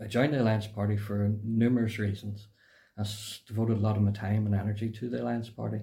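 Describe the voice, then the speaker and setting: A man with a Northern Irish accent talks at a very fast pace with flat, monotone intonation. His fairly low voice is dark, mellow and somewhat breathy. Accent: Northern Irish, Mid Ulster. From Cookstown, County Tyrone, Northern Ireland. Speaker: former political party member. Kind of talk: casual interview conversation. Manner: hesitant, filler-heavy.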